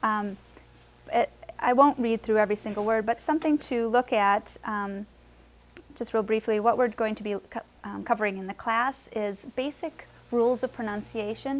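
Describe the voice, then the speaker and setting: A woman speaks at a moderate pace in a fairly high pitch. Her intonation stays fairly even. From Wisconsin, US. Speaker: Spanish teacher. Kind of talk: lecture. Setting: classroom with adult learners. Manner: frequent hesitations with um.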